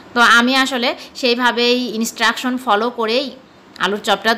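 Noticeable background noise surrounds a woman speaking in a fairly high pitch with a Bangladeshi accent. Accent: Bangladeshi Bengali. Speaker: cooking vlogger. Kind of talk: cooking tutorial.

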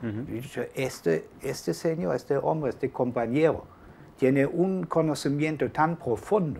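In a German accent, the voice has a dark, mellow tone, lively intonation and a fairly slow pace. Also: man, fairly high pitch for a man. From Germany, Hamburg. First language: German (speaking Spanish). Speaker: journalist and author. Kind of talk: interview. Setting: studio. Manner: halting.

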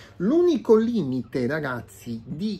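This is a man's voice. His tone is dark and mellow. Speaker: product reviewer. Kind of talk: unboxing video. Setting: home room, natural light. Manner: hesitant, many filler sounds. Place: home room. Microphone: phone near.

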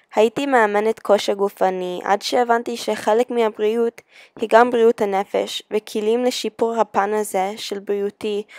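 Speaking fairly slowly with an American accent, a woman keeps her intonation fairly even. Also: dry, close sound with no echo. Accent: American accent in Hebrew. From USA. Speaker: beauty pageant contestant. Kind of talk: scripted personal video.

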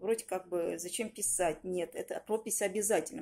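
A woman's dark, mellow tone. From Russia, Yaroslavl region; Russia. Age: 40s. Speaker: language student, tour guide; student giving a course review. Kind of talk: testimonial. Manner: halting. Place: home room.

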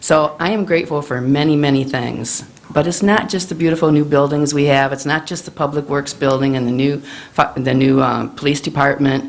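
With a Midwestern American accent, a woman speaks at a fairly quick pace with a very deep, low pitch and fairly even intonation, amid audible room echo and noticeable background noise. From Illinois, Manteno. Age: 70s. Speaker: resident public commenter. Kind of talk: public comment at council meeting. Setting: village board meeting.

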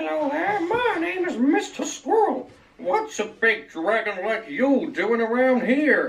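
In a cartoonish character voice, a man speaks at an extremely high pitch, fairly slowly, with very wide pitch swings. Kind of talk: comic cartoon voice. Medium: puppet show. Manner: chirpy, excitable.

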